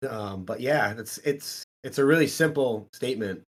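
Lively intonation from a man with an American accent. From Iowa (Strawberry Point). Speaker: gym owner and powerlifter. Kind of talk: casual chat.

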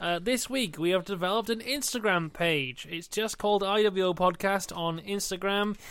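This very clean recording with a silent background has a man speaking at a moderate pace in a high voice. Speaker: podcast host. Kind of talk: casual banter podcast.

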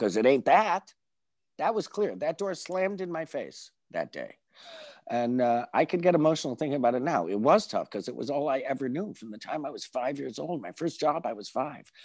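A man with an American accent talks at a fairly quick pace, his pitch fairly high and marked by vocal fry. His pitch swings very widely and his loudness swings a lot. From upstate New York, Binghamton. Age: 60s. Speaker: journalist and former character actor. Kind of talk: casual interview. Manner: animated.

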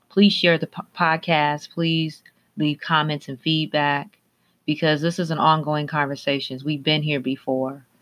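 Using a monotone, flat intonation, a woman with an American accent speaks at a fairly slow pace with very deep, low pitch. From Minneapolis, Minnesota. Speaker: podcast host. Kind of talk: interview podcast.

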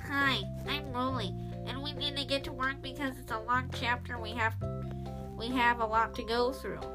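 A nasal, put-on character voice goes at a moderate pace over loud background music. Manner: annoying.

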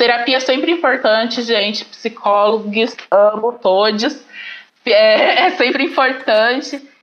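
A high-pitched woman speaks at a very slow pace with very even loudness and ordinary pitch variation. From Brazil, Paraná. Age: 20s. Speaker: teacher and master's student. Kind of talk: casual chat.

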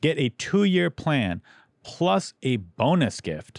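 This very clean recording has a silent background and a dry, close sound with no echo. A man speaks at a very slow pace with very wide pitch swings. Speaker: podcast host and comedian. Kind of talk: casual chat.

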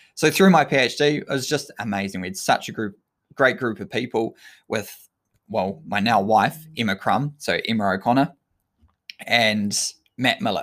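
In a New Zealand accent, the speaker uses lively intonation at a moderate pace with long, frequent pauses, on a very clean recording with a silent background. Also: man, medium pitch for a man. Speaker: sports scientist and endurance coach. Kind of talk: solo talk monologue, live-streamed. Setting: live stream to social media.

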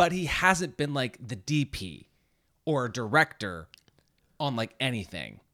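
At a fairly slow pace with long, frequent pauses, a man with a medium pitch speaks in an animated, bright and sharp tone with vocal fry and very wide pitch swings, on a very clean recording with a silent background. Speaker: podcast host. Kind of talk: casual chat. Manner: joking, animated.

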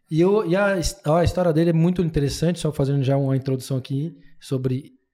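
A man's fairly high, somewhat breathy voice with a dark, mellow tone, ordinary pitch variation and a moderate pace. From Brazil, interior of São Paulo state. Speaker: podcast host and lawyer. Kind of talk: casual interview chat.

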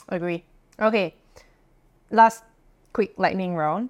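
A woman with an ordinary speaking voice talks at a medium pitch and a moderate pace, her intonation fairly even. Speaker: podcast host. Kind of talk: casual interview.

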